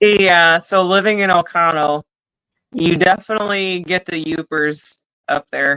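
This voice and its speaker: Heard in a dry, close sound with no echo, a bright, sharp tone with a slight Upper Midwest accent moves at a fairly slow pace with fairly even intonation. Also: woman, fairly low pitch for a woman. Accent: slight Upper Midwest accent, extended vowels. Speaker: podcast co-host. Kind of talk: casual chat.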